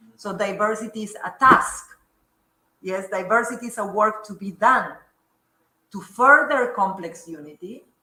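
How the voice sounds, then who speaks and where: Amid audible room echo, a woman with a bright, sharp, fairly high voice leaves long, frequent pauses and swings widely in loudness. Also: ordinary pitch variation. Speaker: academic speaker. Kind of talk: lecture. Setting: lecture room with audience. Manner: slow.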